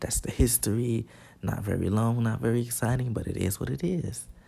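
Somewhat breathy, a man's voice carries a dark, mellow tone at a fairly low pitch. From Chicago. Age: 20s. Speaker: podcast host, college dance student. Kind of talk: casual solo monologue. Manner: casual, many filler words.

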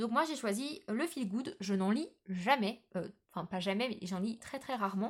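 Somewhat breathy and animated in tone, the speaker talks at a fairly slow pace with lively intonation. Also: woman, fairly high pitch for a woman. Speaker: book podcaster. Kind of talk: casual monologue.

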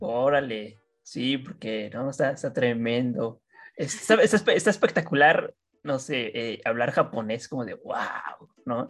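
The delivery is very slow. It carries a Mexican accent. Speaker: student podcast host. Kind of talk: casual chat. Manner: halting.

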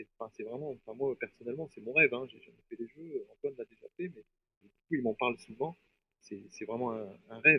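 With an unremarkable speaking voice, a man of medium pitch shows ordinary pitch variation and big swings in loudness. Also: fairly quick pace. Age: 40s. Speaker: triathlete and paratriathlon guide. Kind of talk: interview.

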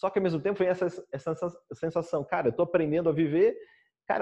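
Very fast speech from a man with a fairly high voice. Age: 40s. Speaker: meditation teacher giving a talk. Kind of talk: lecture. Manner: halting.

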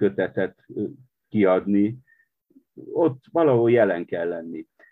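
A man's fairly low voice at a very slow pace. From Transylvania, Romania (Partium-born). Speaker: poet and literary editor. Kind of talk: interview conversation. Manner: halting, with fillers.

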